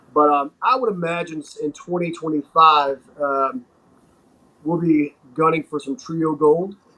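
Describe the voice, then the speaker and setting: A man with a Southern US accent speaks at a fairly slow pace in a fairly high voice with a bright, sharp tone. His pitch varies in an ordinary way, while his loudness swings widely. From North Carolina, Wilmington. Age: 40s. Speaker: pro wrestler. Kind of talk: interview.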